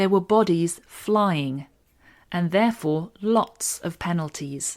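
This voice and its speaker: Speaking at a very slow pace with an American accent, a woman uses a fairly low pitch with ordinary variation, in a very clean recording with a silent background. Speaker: English teacher podcaster. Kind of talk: scripted narration. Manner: clear.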